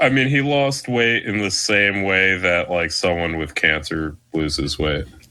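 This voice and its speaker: A man with an American accent talks at a fairly slow pace in a very deep, low voice, with hardly any pauses. His intonation is lively, and there is noticeable background noise. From South Jersey, US. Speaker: podcast co-host. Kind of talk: casual chat.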